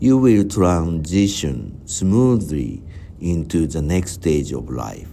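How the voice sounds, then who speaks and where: A man speaks at a very slow pace with a very deep, low pitch, very wide pitch swings and a dark, mellow tone. Audible room echo surrounds his voice. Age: 60s. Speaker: vlogger. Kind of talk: personal reflective monologue. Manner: halting.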